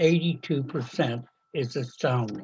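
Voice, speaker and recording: In a quiet background, a somewhat breathy man speaks with ordinary pitch variation. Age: 80s+. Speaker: resident making a public delegation. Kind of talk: prepared statement at a council meeting.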